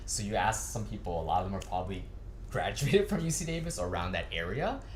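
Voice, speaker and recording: In a Californian accent, someone speaks at a very fast pace over noticeable background noise. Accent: American, California. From US West Coast, California. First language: Cantonese. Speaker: anime media industry professional. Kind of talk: interview. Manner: casual, with filler words.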